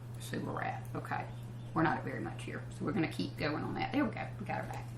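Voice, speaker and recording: A woman speaks with a Southern US accent. Noticeable background noise and audible room echo surround her voice. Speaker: country singer hosting a cooking show. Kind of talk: cooking show tutorial. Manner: fast; casual, chatty.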